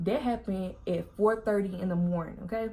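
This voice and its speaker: A woman speaks with a Southern US accent at a fairly quick pace. Her tone is dark and mellow and somewhat breathy. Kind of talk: casual storytime vlog to camera. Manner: chatty, talkative.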